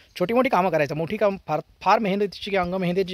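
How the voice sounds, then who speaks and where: A man with ordinary pitch variation. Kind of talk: personal reminiscence storytelling. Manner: conversational, hesitant.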